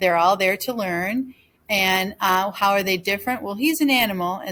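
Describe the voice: What we hear is plain reading aloud.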